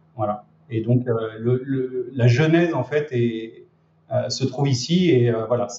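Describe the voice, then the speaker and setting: The man's pitch sits in the medium range. He keeps his intonation fairly even. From France, Lyon region. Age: 30s. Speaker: e-commerce trainer and entrepreneur. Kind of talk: interview.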